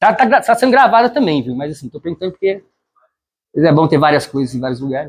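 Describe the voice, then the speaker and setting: Animated in tone, a man with a fairly high pitch races along at a very fast pace, his pitch swinging very widely and his loudness rising and falling sharply. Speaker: student tutor. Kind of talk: lecture.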